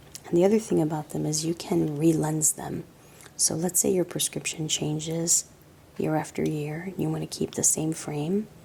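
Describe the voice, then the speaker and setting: A soft-spoken woman with a very deep, low pitch, a relaxed tone, fairly even intonation and a moderate pace, over noticeable background noise. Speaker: optical shop owner / optician. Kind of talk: ASMR product show-and-tell. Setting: quiet indoor room, close-mic. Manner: soft-spoken, relaxed.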